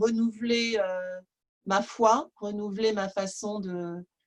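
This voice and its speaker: Very slow pace from a woman with a medium pitch and fairly even intonation. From France, Nantes. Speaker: prayer group participant. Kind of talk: testimony. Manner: hesitant, many euh.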